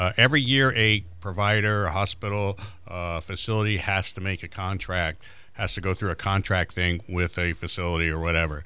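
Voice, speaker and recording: A man with a very deep, low pitch and a bright, sharp tone talks at a fairly quick pace with ordinary pitch variation. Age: 60s. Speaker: Medicare advisor. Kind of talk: radio panel interview. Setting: radio studio.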